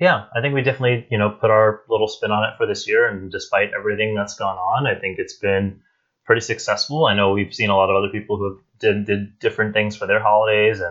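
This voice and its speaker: A man talks at a very fast pace with hardly any pauses. His intonation is fairly even. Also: fairly low pitch for a man. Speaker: theme park podcast host. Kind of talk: casual chat. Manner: loud.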